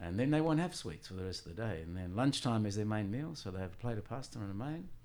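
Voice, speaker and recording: Lively in intonation and very fast, a man with a medium pitch talks amid audible room echo. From Sicily, Italy, raised partly in Australia. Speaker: tour guide and former Italian lecturer. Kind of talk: interview.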